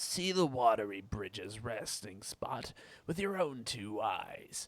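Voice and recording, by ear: In a natural voice, the speaker reads a passage aloud.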